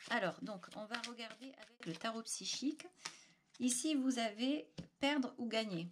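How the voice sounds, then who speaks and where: A woman speaks at a fairly slow pace. Her fairly high voice has lively intonation. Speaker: tarot reader. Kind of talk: tarot reading video. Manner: hesitant, many filler sounds.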